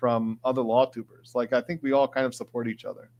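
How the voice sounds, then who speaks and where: At a fairly quick pace, a man with an Upper Midwest accent speaks in a medium pitch with ordinary pitch variation. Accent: Upper Midwest American. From Michigan, Detroit area. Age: 40s. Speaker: trial lawyer and legal commentator streamer. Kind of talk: live stream chat reading. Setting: live stream. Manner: fast.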